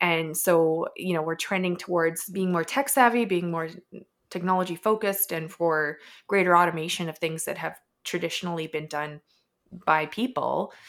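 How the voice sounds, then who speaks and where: A woman with a Canadian accent and a normal speaking voice talks at a fairly low pitch and a moderate pace, using ordinary pitch variation. The recording is very clean, with a silent background. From Edmonton, Canada. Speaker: startup founder. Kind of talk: casual interview.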